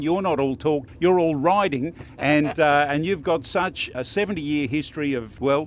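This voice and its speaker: Speaking with an Australian accent, a man with a fairly high pitch keeps a moderate pace with hardly any pauses and ordinary pitch variation. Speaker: motorcycle video host. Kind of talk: interview questions at a race track. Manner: enthusiastic.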